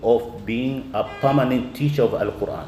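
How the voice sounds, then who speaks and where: A man's medium-pitched voice at a moderate pace, with audible room echo. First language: not English. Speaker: Quran teacher. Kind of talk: lecture. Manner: halting.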